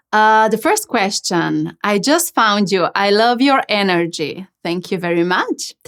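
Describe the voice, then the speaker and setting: A woman with a Slovenian accent and a fairly high pitch speaks at a very slow pace with lively intonation, in a very clean recording with a silent background. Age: 30s. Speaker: channeling medium, podcast host. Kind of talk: Q&A monologue. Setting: podcast. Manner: casual, hesitant with fillers.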